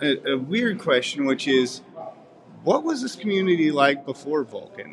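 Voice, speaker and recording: A man with an American accent speaks at a moderate pace, his pitch fairly high for a man. His intonation is lively, and there is noticeable background noise. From Missouri. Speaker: news reporter. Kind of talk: interview.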